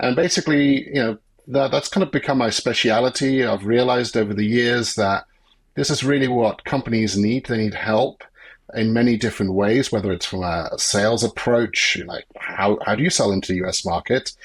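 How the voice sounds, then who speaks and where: On a very clean recording with a silent background, a man with a British accent speaks at medium pitch with ordinary pitch variation. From UK. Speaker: business consultant. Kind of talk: podcast interview.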